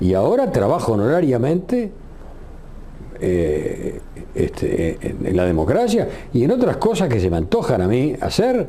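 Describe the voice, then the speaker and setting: Noticeable background noise and audible room echo accompany a man who speaks at a fairly slow pace. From Uruguay. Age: 70s. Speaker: retired radio journalist. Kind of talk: interview.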